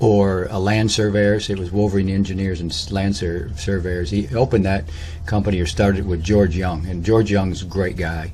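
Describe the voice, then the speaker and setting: A man with a very deep, low pitch and an American accent speaks at a moderate pace with fairly even intonation, with audible room echo and noticeable background noise. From Michigan (Lansing), US Midwest. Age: 60s. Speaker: personal storyteller / vlogger. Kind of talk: autobiographical monologue. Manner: halting, many fillers and false starts.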